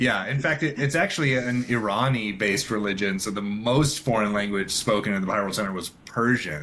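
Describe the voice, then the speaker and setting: With an American accent and a plain, everyday voice, a man speaks at a fairly low pitch and fairly quick pace, with ordinary pitch variation and hardly any pauses. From Israel. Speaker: filmmaker and photographer. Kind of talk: podcast interview. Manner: casual, with fillers.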